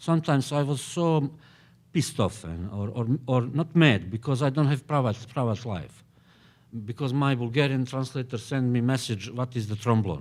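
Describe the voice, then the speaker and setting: This very clean recording with a silent background carries speech delivered at a moderate pace. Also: man, medium pitch for a man, ordinary pitch variation. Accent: Bosnian. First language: Bosnian. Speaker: novelist. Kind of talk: panel discussion. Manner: halting, many hesitations.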